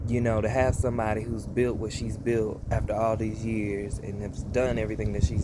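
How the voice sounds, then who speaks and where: Speaking at a moderate pace, a man with a Southern US accent uses a medium pitch and ordinary pitch variation. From US South, North Carolina. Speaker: vlogger reacting to music. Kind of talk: casual reaction vlog. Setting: outdoors at family home. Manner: animated, ranting.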